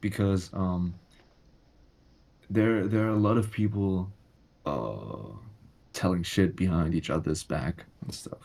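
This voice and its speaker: A man's fairly low, dark, mellow voice with a non-native accent, at a fairly slow pace with long, frequent pauses. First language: not English. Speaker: social media content creator. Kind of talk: casual podcast conversation. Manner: halting, repeats words.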